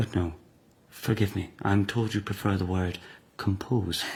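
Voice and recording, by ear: A man's put-on character voice, low-pitched with vocal fry, a slightly husky edge and a slightly mellow tone, at a fairly slow pace with fairly even intonation.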